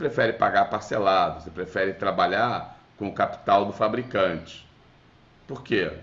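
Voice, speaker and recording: With a Rio de Janeiro accent, a man speaks at a fairly low pitch with big swings in loudness and audible room echo. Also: ordinary pitch variation, moderate pace. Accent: carioca. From Rio de Janeiro, Brazil. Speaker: business lecturer. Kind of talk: webinar lecture. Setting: video call. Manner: conversational, with fillers.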